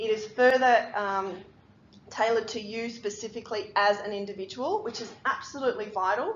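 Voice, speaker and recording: Speaking in an Australian accent, a woman has a fairly high pitch. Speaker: physiotherapist. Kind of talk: lecture. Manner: fast.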